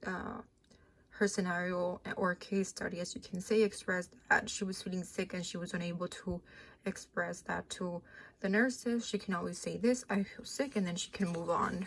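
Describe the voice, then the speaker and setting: A woman speaks at a moderate pace in a somewhat breathy voice. Her intonation is fairly even. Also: medium pitch for a woman. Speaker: speech-language pathology student. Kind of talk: class project presentation.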